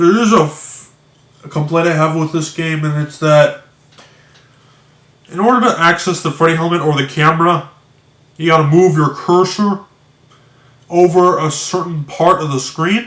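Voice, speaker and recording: A man with a high pitch and fairly even intonation speaks with long, frequent pauses. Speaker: video blogger discussing games. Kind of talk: casual monologue commentary. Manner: slow; halting, many restarts.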